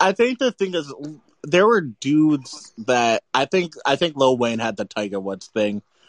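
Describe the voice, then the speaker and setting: In a dry, close recording with no echo, a man with an American accent and a fairly high voice speaks at a moderate pace with very wide pitch swings. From US South, New Orleans. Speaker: music draft participant. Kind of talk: casual chat.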